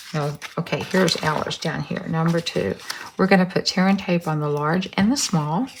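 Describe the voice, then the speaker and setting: Noticeable background noise sits behind this woman. She talks with a Texas accent at a fairly low pitch. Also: ordinary pitch variation, moderate pace. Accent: Texas twang. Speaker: craft tutorial host. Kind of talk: tutorial. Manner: casual, hesitant with ums.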